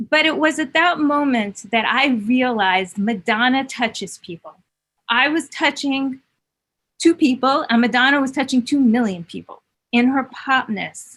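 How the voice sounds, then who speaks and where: With a New York accent, the speaker keeps a moderate pace and ordinary pitch variation. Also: woman, high pitch for a woman. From New York City. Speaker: music producer and songwriter. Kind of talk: interview.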